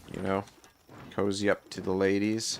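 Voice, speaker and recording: With a Nova Scotia accent, a man speaks in a fairly low pitch and a monotone, flat intonation. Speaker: gaming streamer. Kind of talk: live gameplay commentary. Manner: casual, hesitant with many fillers.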